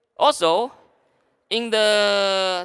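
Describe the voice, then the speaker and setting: Projecting a raised voice, a man with a high pitch and a bright, sharp tone comes through in a very clean recording with a silent background. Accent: Chinese. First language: Chinese. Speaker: sales director. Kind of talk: conference talk. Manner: halting.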